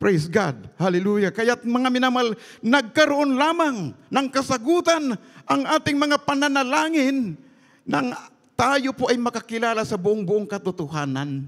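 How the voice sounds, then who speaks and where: A man speaks slowly-ish in an animated tone, his extremely high voice making very wide pitch swings against a quiet background. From Philippines. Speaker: preacher. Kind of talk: sermon. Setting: church. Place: church. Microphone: handheld.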